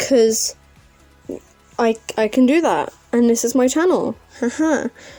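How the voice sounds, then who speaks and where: Music plays behind a woman speaking. Her voice is high-pitched, with ordinary pitch variation. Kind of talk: casual talk to camera.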